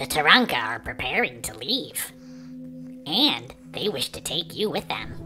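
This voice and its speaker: Over clear background music, a put-on character voice speaks at a low-to-middle pitch. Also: moderate pace. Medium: read story. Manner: composed, articulate, slightly prim.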